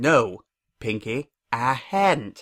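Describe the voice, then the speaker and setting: A man uses a put-on character voice at a medium pitch. The recording is very clean, with a silent background. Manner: speaking through gritted teeth, irritated.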